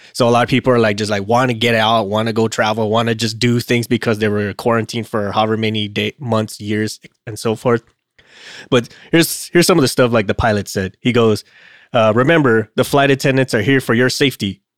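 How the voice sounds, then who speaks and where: A plain, everyday voice from a man at a fairly quick pace, dry and close with no echo, in a very clean recording with a silent background. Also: medium pitch for a man, fairly even intonation. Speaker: podcast co-host, aircraft maintenance. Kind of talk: casual chat podcast discussion.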